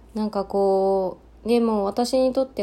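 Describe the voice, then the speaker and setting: On a very clean recording with a silent background, a woman speaks fairly slowly in a dark, mellow tone at medium pitch, with ordinary pitch variation. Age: 30s. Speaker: podcaster, mother of two. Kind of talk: solo casual talk. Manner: hesitant, many fillers.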